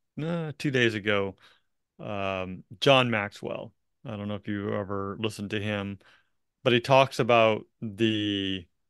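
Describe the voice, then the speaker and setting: An unremarkable speaking voice moves at a fairly slow pace with big swings in loudness. The sound is dry and close with no echo, over a quiet background. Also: man, fairly low pitch for a man, ordinary pitch variation. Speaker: real estate coach and podcast host. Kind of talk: coaching conversation.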